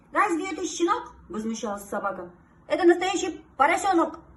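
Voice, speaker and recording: Woman at a moderate pace, very wide pitch swings, noticeable background noise. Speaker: singer and TV presenter. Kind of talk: children's fairy tale reading.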